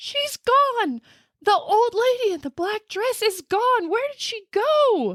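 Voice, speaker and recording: Shouting in a squeaky put-on character voice at an extremely high pitch, a woman uses lively intonation and a fairly slow pace. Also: big swings in loudness. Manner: scared, frantic, yelling.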